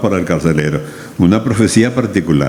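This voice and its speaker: A man's lively intonation at a moderate pace, with audible room echo and noticeable background noise. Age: 80s+. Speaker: pastor. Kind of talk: sermon.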